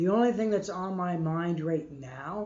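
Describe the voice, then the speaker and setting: Audible room echo surrounds the voice. A man talks at a very slow pace. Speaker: live streamer building a guitar. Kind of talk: casual live-stream chat while working. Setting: live stream in workshop. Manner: slow, hesitant.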